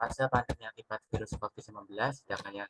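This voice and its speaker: Very fast male speech, fairly low in pitch, bright and sharp in tone, with fairly even intonation and a dry, close sound with no echo. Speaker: university student panelist. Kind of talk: panel discussion answer. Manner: formal.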